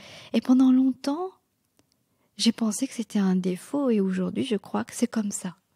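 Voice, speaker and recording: A woman with a non-native accent speaks at a fairly slow pace in a fairly high, somewhat breathy voice with a dark, mellow tone, lively intonation, big swings in loudness and long, frequent pauses, recorded with a dry, close sound and no echo. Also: very clean recording, silent background. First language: not French (speaking French). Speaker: novelist. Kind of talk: interview. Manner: halting, many fillers.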